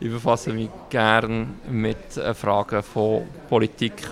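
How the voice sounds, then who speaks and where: There is noticeable background noise as a man speaks at a medium pitch with fairly even intonation and long, frequent pauses. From Switzerland, Bern (Bümpliz), Hungarian parents. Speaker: city councillor and politician. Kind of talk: interview. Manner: frequent hesitations.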